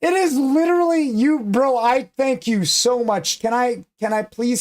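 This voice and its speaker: A man with lively intonation. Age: 30s. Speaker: gaming livestreamer. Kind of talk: casual chat. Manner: animated.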